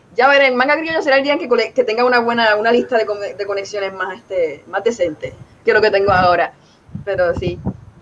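Noticeable noise fills the background while the words rush out at a very fast rate. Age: 30s. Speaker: comic artist. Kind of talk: interview.

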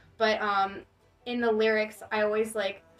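Over noticeable background noise, a woman talks at a moderate pace and medium pitch with monotone, flat intonation. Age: 20s. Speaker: singer. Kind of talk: casual chat.

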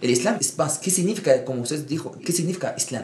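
This man talks at a very fast pace. The rise and fall of his pitch is ordinary. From Egypt. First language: Arabic (speaking Spanish). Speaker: imam. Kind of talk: interview.

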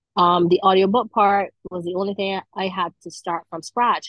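A woman speaks with a Barbadian accent. Her pitch sits in the medium range. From Barbados. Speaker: author. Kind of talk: interview.

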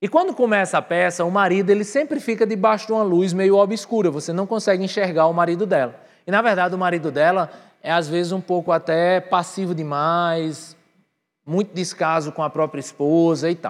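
Against a quiet background, a man with a high voice talks at a fairly quick pace in an animated tone, with ordinary pitch variation. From Brazil, Northeast (Patos, Paraíba). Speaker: pastor. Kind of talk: sermon. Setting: church with live audience, livestreamed.

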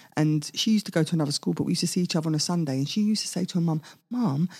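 A woman speaks in a somewhat breathy, dark and mellow tone with ordinary pitch variation, her voice dry and close with no echo on a very clean recording against a silent background. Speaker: singer. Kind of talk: interview.

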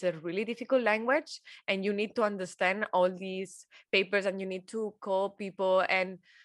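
Against a quiet background, a woman with a Spanish accent speaks at a moderate pace in a medium pitch. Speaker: podcast co-host. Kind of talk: casual chat.

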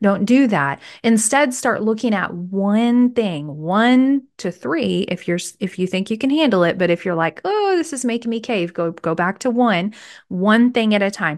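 Against a quiet background, a woman with an ordinary speaking voice talks at a moderate pace, fairly high-pitched and with lively intonation. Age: 40s. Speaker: faith-based wellness podcast host. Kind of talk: solo podcast monologue, motivational teaching. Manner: conversational, with frequent filler words and repetitions.

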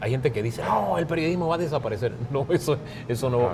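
The speaker talks at a fairly quick pace with a Panamanian accent and ordinary pitch variation. Audible room echo and noticeable background noise come through. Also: man. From Panama, Chiriquí, raised in San Miguelito area. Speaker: journalist and media trainer. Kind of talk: casual interview chat. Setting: café.

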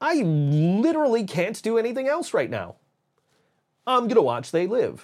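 An animated, high-pitched man at a moderate pace, with very wide pitch swings. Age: 40s. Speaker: podcast host and voiceover artist. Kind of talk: casual chat. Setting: home studio. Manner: animated, frequent laughing.

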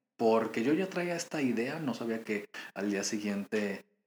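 With an ordinary speaking voice, a man speaks fairly slowly at a fairly low pitch with ordinary pitch variation. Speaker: podcast host and fitness coach. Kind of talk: casual monologue.

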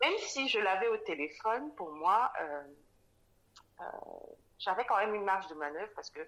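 Her pitch medium but swinging very widely, a woman speaks at a moderate pace with big swings in loudness and long, frequent pauses. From Cameroon, Douala. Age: 30s. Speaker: specialized educator and mother. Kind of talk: casual interview. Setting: remote recording. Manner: halting, many fillers.

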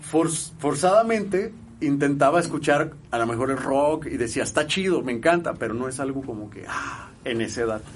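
A man with a fairly high voice talks at a moderate pace with hardly any pauses, lively intonation and big swings in loudness, in a room with audible echo. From Mexico, Guadalajara, Jalisco. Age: 30s. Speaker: musician. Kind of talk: casual chat.

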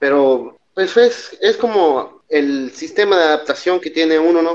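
Here is a man with an unremarkable speaking voice. He talks at a fairly slow pace with lively intonation. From Mexico City, then Baja California Sur from age 12. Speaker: engineer. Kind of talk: casual chat.

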